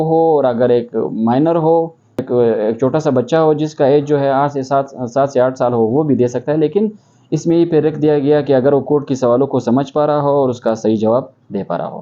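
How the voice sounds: The man speaks with a dark, mellow tone and fairly even intonation. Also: few pauses.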